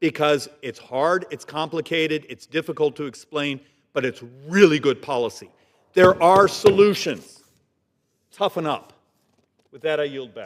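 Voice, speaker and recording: A man speaks at a moderate pace in an animated tone, his fairly high voice moving through ordinary pitch variation, with big swings in loudness and long, frequent pauses. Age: 60s. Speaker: congressman. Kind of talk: floor speech. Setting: legislative chamber.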